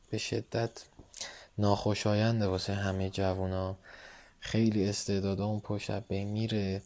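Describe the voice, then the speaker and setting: Dark and mellow describes this man's tone. He keeps to a moderate pace. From Iran, Tehran. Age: 20s. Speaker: photographer. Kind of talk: casual interview. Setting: late-night conversation.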